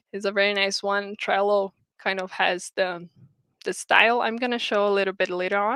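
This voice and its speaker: The recording is very clean, with a silent background and a dry, close sound with no echo. A woman with a Portuguese accent speaks at a moderate pace and a medium pitch. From Brazil. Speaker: game producer / project management speaker. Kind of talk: lecture. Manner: halting, many fillers and repetitions.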